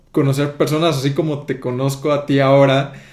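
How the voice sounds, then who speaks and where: The man's voice sits fairly high in pitch as he talks at a medium speed. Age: 20s. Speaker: podcast host. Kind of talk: casual podcast interview.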